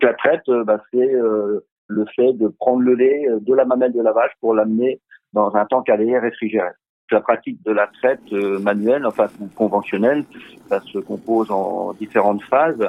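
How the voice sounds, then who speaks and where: A man with an unremarkable speaking voice talks at a medium pitch. His pace is fairly slow and his intonation fairly even. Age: 50s. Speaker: dairy farmer. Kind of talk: interview explanation.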